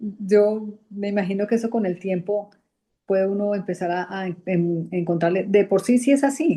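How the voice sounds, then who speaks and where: A woman speaks with a dark, mellow tone. Her intonation is fairly even and her pace moderate. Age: 60s. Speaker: study group participant. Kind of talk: group discussion. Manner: halting.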